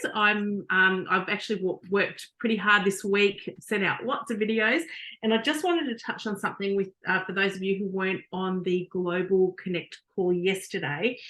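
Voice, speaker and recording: With an Australian accent, a woman talks at a moderate pace in a bright, sharp tone, using ordinary pitch variation and hardly any pauses. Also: medium pitch for a woman. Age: 50s. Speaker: network marketing team member. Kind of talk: testimony. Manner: halting.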